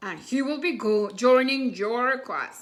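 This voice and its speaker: A woman's put-on character voice, high in pitch, at a fairly slow pace. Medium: read story. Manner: firm, matter-of-fact.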